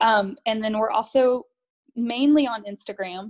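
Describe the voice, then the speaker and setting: A woman with an American accent has a normal speaking voice, pitched fairly high. She talks at a moderate pace. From North Carolina. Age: 30s. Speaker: stay-at-home mom. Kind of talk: casual chat.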